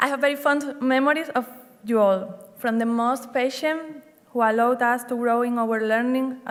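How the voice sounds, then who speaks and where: A woman speaks at a moderate pace with a high-pitched voice. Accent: Spanish. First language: Spanish. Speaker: hotel general manager. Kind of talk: graduation speech. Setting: stage with audience.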